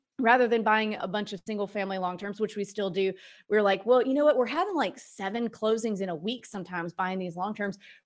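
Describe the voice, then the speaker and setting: Speaking in a normal speaking voice, a woman uses a fairly high pitch with ordinary pitch variation. The recording is very clean, with a silent background. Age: 30s. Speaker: real estate investor and author. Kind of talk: interview. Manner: casual.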